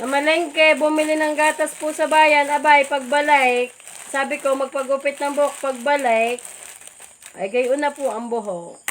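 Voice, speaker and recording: Loud and high-pitched, a woman talks at a moderate pace with fairly even intonation amid noticeable background noise. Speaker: live streamer. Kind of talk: casual chat. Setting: Facebook live at home with family.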